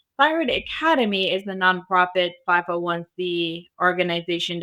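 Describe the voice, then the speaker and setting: A woman's fairly low voice with a bright, sharp tone and an Arabic accent. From Arabic-speaking country. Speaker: cybersecurity business founder. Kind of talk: podcast interview.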